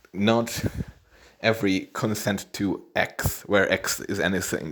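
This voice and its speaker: This man speaks with a non-native accent and fairly low pitch. His intonation is fairly even. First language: not English. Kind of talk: casual monologue. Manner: halting, many repetitions.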